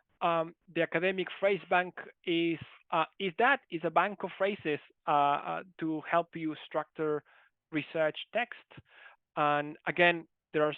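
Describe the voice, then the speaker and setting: With a non-native accent, this person delivers the words at a fairly slow pace. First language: not English. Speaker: university lecturer. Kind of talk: online lecture. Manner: halting.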